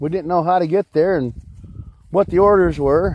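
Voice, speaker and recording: Against noticeable background noise, a man speaks in a high voice with fairly even intonation. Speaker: off-grid homesteader vlogger. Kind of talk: casual vlog monologue. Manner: loud.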